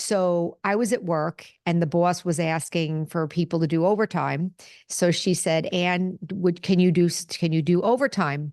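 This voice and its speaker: A plain, everyday voice with very even loudness, fairly even intonation and a moderate pace over a quiet background. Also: woman, fairly low pitch for a woman. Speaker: spiritual podcast host and nurse. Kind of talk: solo talk to camera. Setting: video recording on camera.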